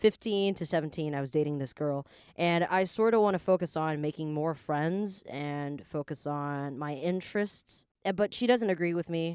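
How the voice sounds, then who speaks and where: Recorded very cleanly against a silent background, dry and close with no echo, a woman with a plain, everyday voice speaks at a moderate pace and fairly low pitch with ordinary pitch variation. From Canada. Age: 20s. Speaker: podcast co-host. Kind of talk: casual chat. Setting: studio.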